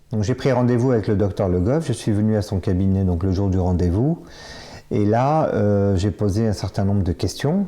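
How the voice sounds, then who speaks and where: A man with a dark, mellow tone speaks at a fairly low pitch and moderate pace, showing ordinary pitch variation. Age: 50s. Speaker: bariatric surgery patient. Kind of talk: testimony. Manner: halting, many fillers and repetitions.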